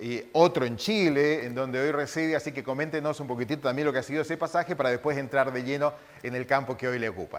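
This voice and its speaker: A man speaks in an ordinary speaking voice, fairly high in pitch for a man. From Misiones, Argentina. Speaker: TV interviewer. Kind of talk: interview.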